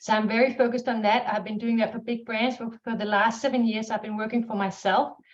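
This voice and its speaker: Very fast speech in a Danish accent, fairly even in intonation, with hardly any pauses. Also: woman, fairly high pitch for a woman. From Denmark. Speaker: marketing strategist, business owner. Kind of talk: webinar panel talk.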